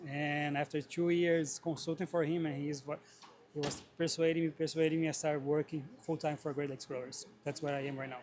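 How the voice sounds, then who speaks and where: Speaking at a fairly quick pace, a man keeps a fairly high pitch in a monotone, flat intonation. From Brazil. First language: Portuguese. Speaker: greenhouse grower. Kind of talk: interview. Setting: trade show.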